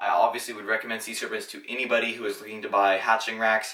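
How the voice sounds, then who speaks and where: A man talks very fast, and noticeable background noise sits beneath his words. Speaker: reptile keeper reviewing equipment. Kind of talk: product review video. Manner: casual, many fillers.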